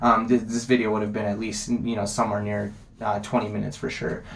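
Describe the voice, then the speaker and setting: A man with an American accent at a fairly quick pace, over noticeable background noise. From Las Vegas, US. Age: 20s. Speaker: MMA vlogger. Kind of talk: casual monologue. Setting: sitting on toilet at home. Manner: fast; many filler ums.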